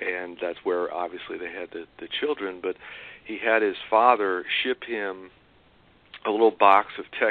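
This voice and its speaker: With an American accent, a man speaks fairly slowly at a fairly low pitch, his intonation fairly even. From New York City. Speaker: co-author of a memoir. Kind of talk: interview. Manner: halting, many fillers and repeats.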